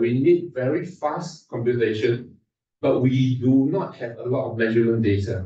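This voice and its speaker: This man's voice sits at a medium pitch and sounds somewhat breathy. Its tone is dark and mellow. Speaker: invited speaker at research workshop. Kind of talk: technical conference talk. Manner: fast.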